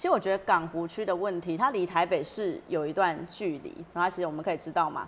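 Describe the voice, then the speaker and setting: Over light background noise, a woman with a Taiwanese accent talks at a fairly quick pace in a fairly low pitch with fairly even intonation. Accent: Taiwanese Mandarin. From Taiwan, Yunlin County. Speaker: city council candidate. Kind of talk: interview. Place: studio. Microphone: lapel.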